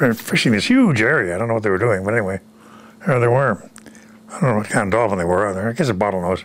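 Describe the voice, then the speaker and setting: Noticeable background noise sits behind a man with a fairly low pitch and ordinary pitch variation. He talks at a very fast pace, yet leaves long, frequent pauses. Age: 90s. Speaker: war veteran. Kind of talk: interview. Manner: halting.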